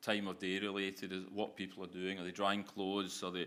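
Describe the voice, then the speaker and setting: A man with a Glasgow accent, fairly low in pitch, with a bright, sharp tone. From Scotland, Glasgow. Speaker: business founder and managing director. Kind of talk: conference Q&A. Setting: stage with audience.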